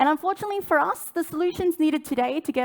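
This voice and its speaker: Her intonation lively, a woman speaks with an Australian accent. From Australia, suburbs of Sydney. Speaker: sustainability director. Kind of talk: conference talk. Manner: some restarts and stumbles.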